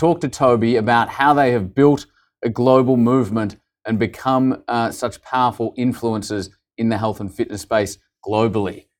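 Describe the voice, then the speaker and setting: On a very clean recording with a silent background, a man with an Australian accent speaks at a medium pitch with fairly even intonation. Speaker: podcast interviewer. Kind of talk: casual interview chat.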